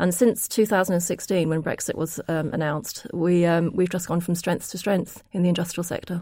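Using an ordinary speaking voice, a woman talks at a fairly low pitch. Her pace is moderate and her intonation fairly even. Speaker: logistics agent. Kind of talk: panel discussion.

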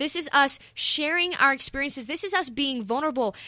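A woman's high, raised and projected voice with a bright, sharp tone, lively intonation, an American accent and a moderate pace. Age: 20s. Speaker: podcast co-host, music student. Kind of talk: casual chat.

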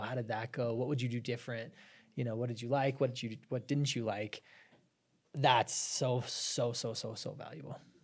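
With an American accent and a somewhat breathy quality, the speaker keeps a moderate pace and fairly even intonation on a very clean recording with a silent background. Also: man. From Arizona, US. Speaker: business founder. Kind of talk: casual chat.

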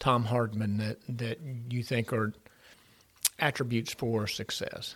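A man with an Appalachian accent, speaking at a fairly slow pace. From Ironton, Ohio, Appalachia. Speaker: podcast host, entrepreneur. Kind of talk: casual interview. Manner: halting, many fillers and repeats.

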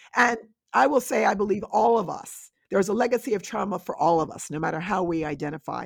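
A woman with an American accent, very fast and full of lively intonation, with vocal fry and big swings in loudness. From Westchester County, New York. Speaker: scholar. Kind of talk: interview.

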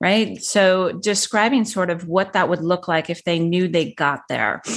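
A woman with a normal speaking voice talks at a fairly slow pace and medium pitch, her intonation lively over a quiet background. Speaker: divorce coach. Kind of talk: casual professional conversation.

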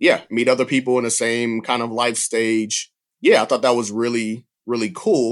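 A man talks in a Southern US accent at a medium pitch. The background is quiet. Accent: Southern US (Georgia). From US South, Georgia. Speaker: refugee resettlement worker. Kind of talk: casual interview.

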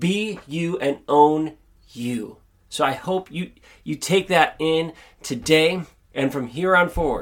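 In a very clean recording with a silent background, a man speaks with a high pitch and lively intonation at a very slow pace. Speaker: podcast host. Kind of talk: motivational monologue. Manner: mumbles at times.

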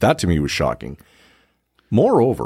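With vocal fry throughout, a man's voice makes very wide pitch swings. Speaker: podcast host. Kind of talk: casual chat. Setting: studio.

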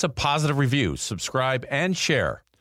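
Over a silent background in a very clean recording, a man speaks at medium pitch in an upbeat tone with vocal fry. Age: 60s. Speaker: podcast host and former professional baseball player. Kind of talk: motivational monologue; promo for own merchandise.

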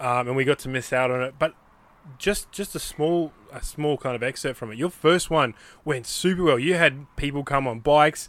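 In an Australian accent, a man speaks at a fairly high pitch. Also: ordinary pitch variation, moderate pace. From Western Australia. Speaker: podcast host. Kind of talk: scripted narration; casual chat. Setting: in a van.

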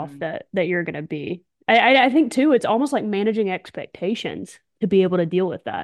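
A woman speaks at a very fast pace with a medium pitch. Her intonation is lively. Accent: American. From Alabama, US South. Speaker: podcast co-host, former national team softball player. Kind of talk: casual chat.

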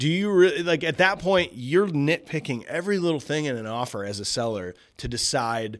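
Speaking with an American accent, a man with a fairly high voice makes very wide pitch swings. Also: very clean recording, silent background. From US Midwest (St. Louis, then Iowa). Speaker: band drummer and real estate agent. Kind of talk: casual chat.

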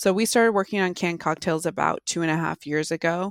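With an American accent, a woman talks in an ordinary speaking voice at a fairly low pitch and a fairly quick pace, in a very clean recording with a silent background and a dry, close sound with no echo. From US Pacific Northwest. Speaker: marketing executive. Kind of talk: interview.

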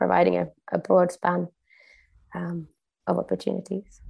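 Fairly low for a woman, her voice carries vocal fry and fairly even intonation. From Sweden. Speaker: norm critical consultant and educator. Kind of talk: interview.

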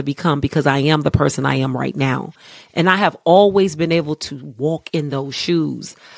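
A woman speaks at a fairly quick pace in a very deep, low pitch, with an American accent. Her tone is animated and her pitch varies in an ordinary way. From Ohio. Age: 50s. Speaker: barber and salon owner. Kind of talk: interview.

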